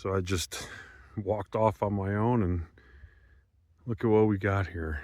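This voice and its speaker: A man with an American accent talks at a fairly slow pace, leaving long, frequent pauses. His pitch is fairly low, and the recording is very clean with a silent background. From eastern United States. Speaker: travel vlogger. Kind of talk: casual travel vlog narration. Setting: outdoors. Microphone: camera built-in mic, no microphone.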